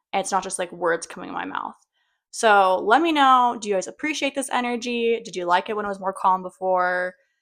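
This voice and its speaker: A woman with medium pitch and ordinary pitch variation talks at a fairly quick pace in an animated tone. Her loudness swings widely on a very clean recording with a silent background. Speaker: vlogger. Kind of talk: casual vlog monologue. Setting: at home, kids behind door. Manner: fast.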